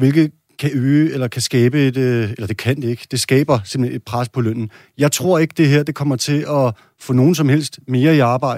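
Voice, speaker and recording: A man with an ordinary speaking voice talks at medium pitch and a moderate pace with fairly even intonation, the recording very clean with a silent background and a dry, close sound with no echo. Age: 30s. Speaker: parliamentary candidate, bricklayer. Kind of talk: political debate.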